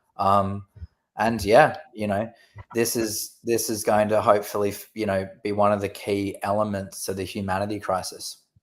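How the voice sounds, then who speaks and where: In a monotone, flat intonation, a man speaks at a fairly low pitch. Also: moderate pace. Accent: Australian. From Australia. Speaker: company representative. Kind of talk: casual chat.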